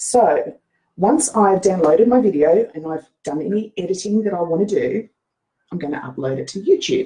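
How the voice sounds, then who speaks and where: In an Australian accent, a woman speaks at a medium pitch and a moderate pace, her dark, mellow tone somewhat breathy and her intonation lively. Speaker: social media marketing coach. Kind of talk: tutorial. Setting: Facebook live screen share. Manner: casual with frequent fillers.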